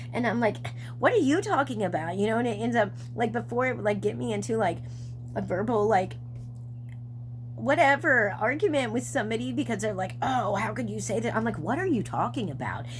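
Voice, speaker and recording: Through noticeable background noise and audible room echo, a woman speaks at a fairly quick pace. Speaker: psychic medium doing numerology readings. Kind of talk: channeled reading monologue. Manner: fast; halting with frequent fillers.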